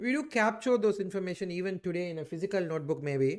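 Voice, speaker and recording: A man with a high voice talks at a fairly quick pace over a quiet background. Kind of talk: tutorial. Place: home room.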